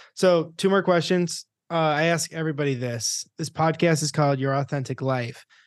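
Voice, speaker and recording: Here is a normal speaking voice with fairly even intonation. It moves at a moderate pace against a quiet background. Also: man, fairly high pitch for a man. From Rochester, New York, US. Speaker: podcast host. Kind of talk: podcast outro; interview conversation. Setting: video call.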